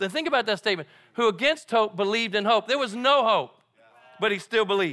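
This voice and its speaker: A man's raised, projected voice comes across high-pitched with a bright, sharp tone on a very clean recording with a silent background. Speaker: guest preacher. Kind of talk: sermon. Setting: church.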